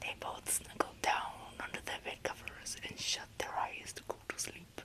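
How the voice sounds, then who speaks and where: A woman whispers in a soothing tone at a very slow pace. Noticeable background noise can be heard. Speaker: ASMR creator roleplaying a mom. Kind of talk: whispered bedtime story reading. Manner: whispered, soft, soothing.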